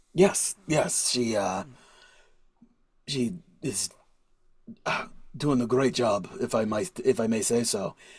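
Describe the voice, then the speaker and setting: A raspy, put-on character voice moves at a fairly slow pace with lively intonation and long, frequent pauses. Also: man, medium pitch for a man. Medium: actual play. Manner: chatty, laughing, slightly broken grammar.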